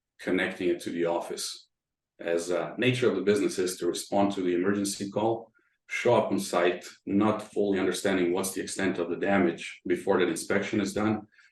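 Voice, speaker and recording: A man's fairly low, monotone, flat voice at a very fast pace, with audible room echo. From Croatia. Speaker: tech company founder. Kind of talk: interview.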